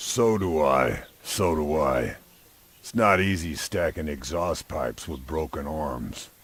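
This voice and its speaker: A man does a put-on character voice, very deep and low, with lively intonation at a fairly slow pace. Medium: video game.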